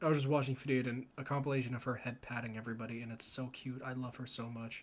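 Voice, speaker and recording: A man talks at a very fast pace with a Canadian accent. His pitch is medium. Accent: Canadian, stronger when talking fast. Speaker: video game streamer. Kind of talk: casual live stream chat. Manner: animated.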